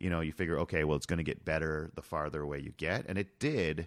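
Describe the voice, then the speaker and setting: With a very clean recording and a silent background, a man speaks at a fairly quick pace in a very deep, low pitch. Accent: Canadian. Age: 40s. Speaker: author and leadership speaker. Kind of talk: interview conversation.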